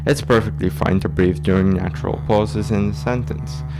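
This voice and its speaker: A man with lively intonation, audible room echo and music in the background. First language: Dutch. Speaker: YouTuber. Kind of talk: semi-casual voiceover narration. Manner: inconsistent speed, pauses to breathe.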